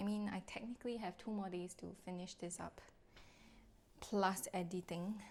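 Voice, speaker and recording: A woman's somewhat breathy voice moves with fairly even intonation and long, frequent pauses. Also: medium pitch for a woman. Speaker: lifestyle vlogger and content creator. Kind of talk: casual vlog narration. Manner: slow. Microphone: soft audio, mic setting issues.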